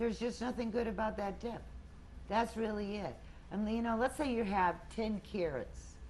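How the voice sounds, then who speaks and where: Vocal fry marks a woman's fairly high voice, which has an American accent and ordinary pitch variation. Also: moderate pace. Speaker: weight loss group leader. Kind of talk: group talk.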